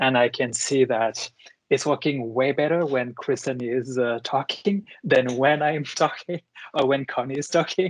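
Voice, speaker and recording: Speaking fairly slowly in a French accent, a man with a fairly high pitch comes through in a dry, close sound with no echo. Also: ordinary pitch variation. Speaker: moderator, law professor. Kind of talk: online panel discussion. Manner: halting, with many fillers.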